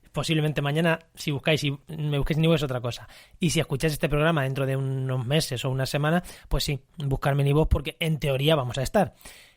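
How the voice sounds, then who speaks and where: Over a silent background in a very clean recording, a man talks at a very fast pace in a fairly high voice with fairly even intonation. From Spain, La Mancha. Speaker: ecology podcast host. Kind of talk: solo podcast monologue. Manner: conversational, with frequent fillers and repetitions.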